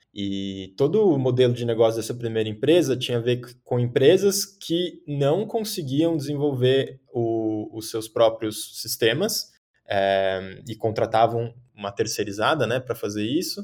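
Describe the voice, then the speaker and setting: In an ordinary speaking voice, a man talks at a fairly slow pace. His medium pitch carries lively intonation. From São Paulo, Brazil. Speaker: tech company founder. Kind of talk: casual chat.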